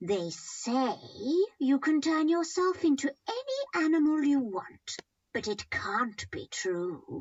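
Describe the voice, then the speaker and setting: Someone talks in a put-on character voice, high-pitched and fairly slow. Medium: read story. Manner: crafty.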